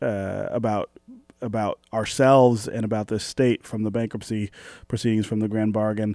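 A man speaks with an American accent in a dark, mellow tone. The sound is dry and close with no echo. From Detroit, Michigan. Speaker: radio host. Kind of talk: radio interview; radio announcements.

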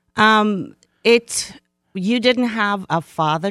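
A woman with an American accent speaks with lively intonation while music plays in the background. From Jamaica, Kingston. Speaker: community organizer. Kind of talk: interview. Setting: radio studio.

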